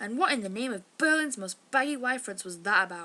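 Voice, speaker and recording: A woman with an English accent and lively intonation. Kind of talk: casual novel excerpt reading.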